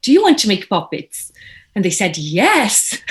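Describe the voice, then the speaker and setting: In a Brazilian accent, a woman with a somewhat breathy voice and a medium pitch speaks over a quiet background. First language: Portuguese. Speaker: puppeteer, actress, voiceover artist. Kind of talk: casual interview chat.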